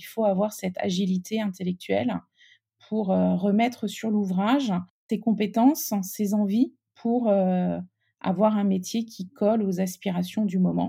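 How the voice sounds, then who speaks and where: Very slowly, a woman talks in a medium-pitched, dark, mellow voice that is somewhat breathy. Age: 40s. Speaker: business executive. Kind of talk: interview. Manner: halting.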